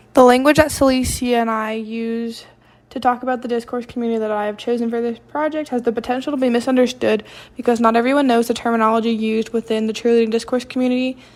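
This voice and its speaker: Speaking very fast in a fairly high voice, a woman with a Southern US accent keeps her intonation monotone and flat. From US South. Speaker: college student. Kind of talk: reading aloud.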